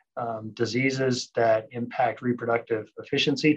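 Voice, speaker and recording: At a moderate pace, a man speaks with an American accent. His voice sits at a medium pitch with monotone, flat intonation. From Thailand and northern Nevada, US. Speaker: veterinary science professor and researcher. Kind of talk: interview.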